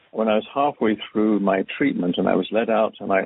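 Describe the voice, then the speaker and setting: This man speaks with an English accent. His pitch is fairly low and his intonation fairly even. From England, farming area north of London. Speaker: retired business executive and cancer survivor. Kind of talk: talk on a conference call. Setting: conference call.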